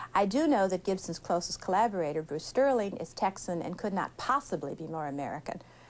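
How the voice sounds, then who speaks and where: Speaking at a fairly quick pace, a woman uses a plain, everyday voice at a medium pitch. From United States. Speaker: science fiction writer. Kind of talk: interview.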